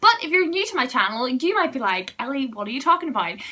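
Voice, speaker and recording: Over noticeable background noise, a woman uses a raised, projected voice at a high pitch with very wide pitch swings. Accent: Northern Irish. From Northern Ireland. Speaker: student vlogger. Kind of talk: vlog advice talk.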